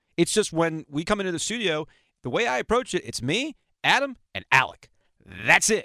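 With an American accent, a man speaks in a bright, sharp tone with vocal fry, captured with a dry, close sound and no echo. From South Florida. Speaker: radio host. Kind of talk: casual chat.

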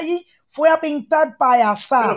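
High-pitched female voice, ordinary in its pitch variation. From Cuba, Matanzas countryside. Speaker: health worker, caller. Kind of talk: heated debate. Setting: video call, camera off. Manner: emphatic, impassioned.

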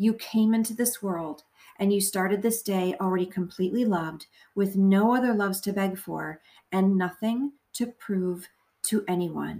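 A woman speaks in a dark, mellow, calm and gentle tone with fairly even intonation. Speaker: podcast host. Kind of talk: guided meditation, prayer. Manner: slow, calm, gentle; soft-spoken, soothing, with long pauses.

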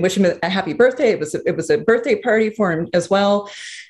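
A woman's medium-pitched, an ordinary speaking voice, with ordinary pitch variation. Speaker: screenwriter and producer. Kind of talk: interview conversation.

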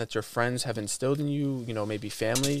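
Using a plain, everyday voice, a man with an American accent talks at a fairly quick pace and medium pitch on a very clean recording with a silent background. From Iowa City, US Midwest. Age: 20s. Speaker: podcast host and motivational speaker. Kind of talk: casual chat.

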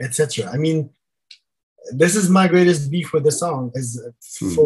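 Here a man with a German accent speaks at a moderate pace, his voice somewhat breathy. His pitch is fairly high, with ordinary variation. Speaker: church planter. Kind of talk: casual discussion of song lyrics.

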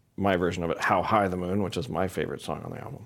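A man with an American accent talks in a very deep, low pitch. The recording is very clean, with a silent background. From US Midwest, St. Louis, Missouri. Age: 40s. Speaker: singer-songwriter. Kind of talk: interview. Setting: live studio with audience.

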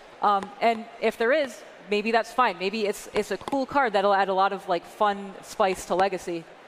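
A woman speaks at a moderate pace with fairly even intonation. Noticeable background noise runs underneath. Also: medium pitch for a woman. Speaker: game designer. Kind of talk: panel Q&A.

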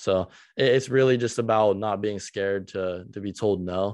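Here is a man with a plain, everyday voice and a fairly low pitch. He speaks at a moderate pace over a quiet background. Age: young (19). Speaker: young entrepreneur, supplement business founder. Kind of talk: casual interview chat.

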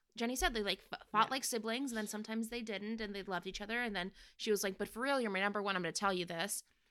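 Her pitch sits at a medium level for a woman, with ordinary pitch variation. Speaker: podcast host. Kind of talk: casual chat.

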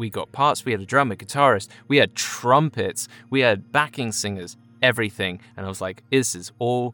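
Over music in the background, a man with a southern English accent speaks at medium pitch with lively intonation in a dry, close sound with no echo. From England, Chelmsford (Essex). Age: 30s. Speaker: voiceover actor. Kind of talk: casual storytelling.

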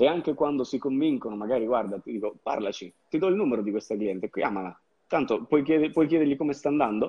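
A man at a medium pitch races along at a very fast pace, his intonation lively. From southern Italy, Campania (province of Salerno, Sapri). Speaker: marketing agency owner. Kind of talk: interview.

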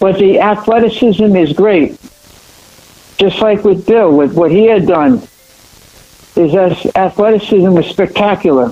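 Over noticeable background noise, a man speaks in a high pitch with ordinary pitch variation. His loudness stays very even, broken by long, frequent pauses. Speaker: martial arts champion, panelist. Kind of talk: panel discussion.

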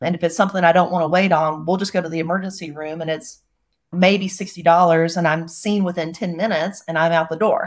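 On a very clean recording with a silent background, a woman with an American accent speaks very fast in a fairly low, monotone, flat voice. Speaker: investor. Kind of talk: casual chat.

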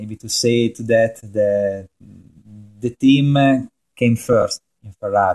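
A man's dark, mellow voice at medium pitch, very slow with long, frequent pauses, fairly even intonation and big swings in loudness, in a dry, close sound with no echo. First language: Italian. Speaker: motorsport journalist. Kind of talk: casual chat. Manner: halting, many fillers.

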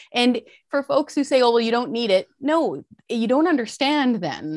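Against a quiet background, a woman with a Canadian accent speaks at a moderate pace in a dry, close sound with no echo. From rural British Columbia, Fraser Canyon. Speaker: taxpayer advocacy researcher, former journalist. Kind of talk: interview.

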